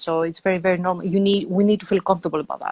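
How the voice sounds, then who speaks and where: Recorded with a dry, close sound and no echo, a woman speaks at a medium pitch. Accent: Greek. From Greece. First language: Greek. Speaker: energy psychologist and online entrepreneur. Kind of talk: casual conversation.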